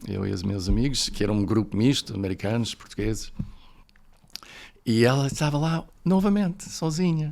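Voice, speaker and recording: Using very wide pitch swings and long, frequent pauses, a man talks at a medium pitch and a moderate pace. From United States, snowy region. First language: English (speaking Portuguese). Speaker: professor, podcast guest. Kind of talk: interview, personal storytelling. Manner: hesitant, many fillers.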